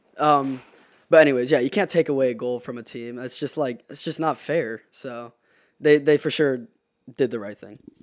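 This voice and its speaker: On a very clean recording with a silent background, a man with an American accent speaks at medium pitch and a moderate pace, his loudness swinging widely. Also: ordinary pitch variation. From South Carolina. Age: 20s. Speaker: college soccer player. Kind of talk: casual interview. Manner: hesitant, many fillers.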